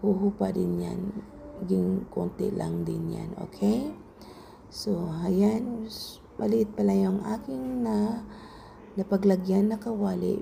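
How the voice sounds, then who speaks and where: This woman talks very slowly, leaving long, frequent pauses, and noticeable background noise runs behind her. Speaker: home cook vlogger. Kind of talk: cooking tutorial. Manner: casual, chatty.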